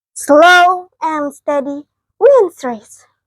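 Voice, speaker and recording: The speaker uses a put-on character voice. Its sound is squeaky. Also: woman, extremely high pitch for a woman. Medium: read story. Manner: gentle, calm.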